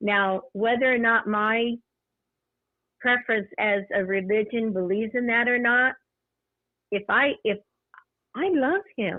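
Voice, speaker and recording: Keeping very even loudness, a woman with a fairly high pitch talks at a fairly slow pace with ordinary pitch variation and long, frequent pauses. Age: 60s. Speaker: caller. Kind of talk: casual chat.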